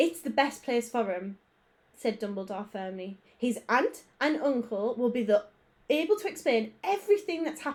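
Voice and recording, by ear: A natural voice reading aloud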